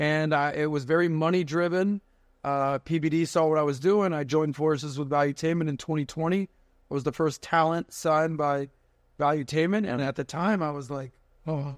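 A normal speaking voice with an American accent moves at a fairly quick pace. Its intonation stays fairly even. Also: man, fairly high pitch for a man. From Miami, Florida. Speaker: podcast host and finance entrepreneur. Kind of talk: casual interview chat. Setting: studio.

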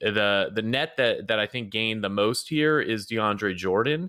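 A man's fairly low voice in a General American accent, bright and sharp in tone, with ordinary pitch variation at a moderate pace, on a very clean recording with a silent background. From US Midwest. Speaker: fantasy basketball analyst. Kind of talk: casual chat.

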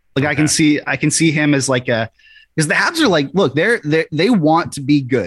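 A man with a fairly high pitch talks at a moderate pace. He has an ordinary speaking voice with ordinary pitch variation. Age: 20s. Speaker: hockey writer and podcaster. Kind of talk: casual chat.

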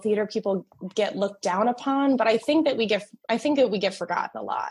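With an American accent, a woman speaks fairly quickly. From New Jersey. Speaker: theater production manager and stage manager. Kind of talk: casual interview chat.

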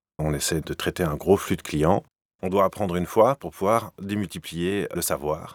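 A man's very deep, low voice at a moderate pace with ordinary pitch variation, dry and close with no echo, on a very clean recording with a silent background. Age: 30s. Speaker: entrepreneur, former HR director. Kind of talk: interview.

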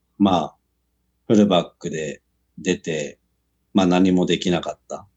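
At a moderate pace, a man talks. His pitch variation is ordinary. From Japan, Kumagaya, Saitama. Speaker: professional rugby player. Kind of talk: casual interview.

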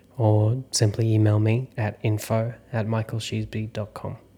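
With an Australian accent, a man speaks at a fairly slow pace in a fairly low, somewhat breathy voice. His tone is dark and mellow, and his intonation is flat and monotone. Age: 30s. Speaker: actor and acting coach. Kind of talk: solo podcast monologue.

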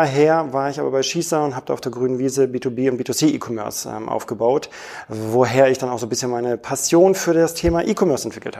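A man at a very fast pace, fairly high in pitch, with ordinary pitch variation and noticeable background noise. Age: 30s. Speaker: e-commerce product manager. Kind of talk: interview. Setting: airport lounge.

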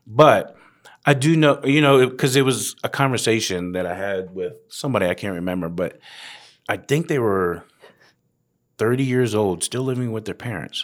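Lively intonation marks this man's medium-pitched voice at a moderate pace. The recording is very clean, with a silent background. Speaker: podcast co-host, parent. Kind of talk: casual chat. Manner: loud, energetic.

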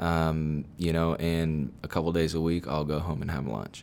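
With an American accent, the speaker talks at a moderate pace with fairly even intonation. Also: man. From Texas, Sugar Land near Houston. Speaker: insurance agent. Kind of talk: casual interview.

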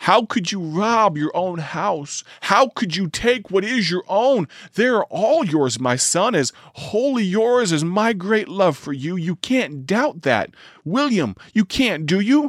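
Putting on a character voice, a man talks at a fairly slow pace in a high pitch with very wide pitch swings. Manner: warm, coaxing.

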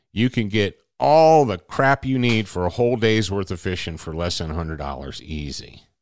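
Against a quiet background, a man with a fairly low pitch speaks at a moderate pace in an American accent. His pitch swings very widely. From Michigan. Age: 50s. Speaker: podcast host. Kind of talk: casual monologue.

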